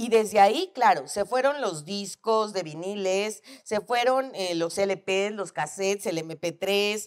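A woman's fairly slow speech comes through over a quiet background. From Mexico. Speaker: psychologist; guest. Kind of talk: casual chat. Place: studio. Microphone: lapel.

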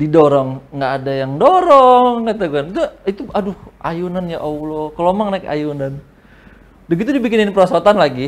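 An animated man with a high pitch and lively intonation. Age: 20s. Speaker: open mic stand-up comedian. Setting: stage with audience. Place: studio.

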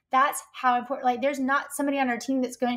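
A woman speaks in a high pitch with a Southern US accent. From US South. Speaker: copywriter and marketing strategist. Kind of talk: casual interview chat.

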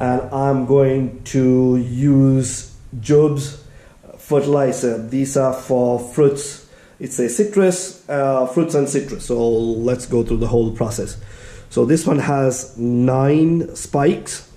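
Very slow speech with ordinary pitch variation carries audible room echo. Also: man. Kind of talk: tutorial.

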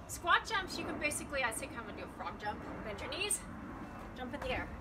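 Loud background noise surrounds a woman talking at a fairly quick pace. She leaves long, frequent pauses. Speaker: fitness instructor. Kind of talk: guided home workout demo, cueing exercises. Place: garden. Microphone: camera far.

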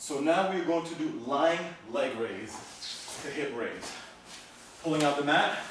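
Strong room echo and noticeable background noise surround this man's voice. He speaks at a very slow pace with ordinary pitch variation. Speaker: fitness trainer. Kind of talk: workout instruction. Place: home room. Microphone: camera far.

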